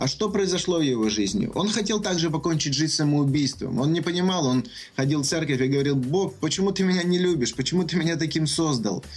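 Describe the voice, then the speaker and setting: Quick-paced man with a fairly high pitch and very even loudness, amid noticeable background noise. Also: lively intonation. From Ukraine, Kyiv. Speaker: success coach. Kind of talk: radio interview.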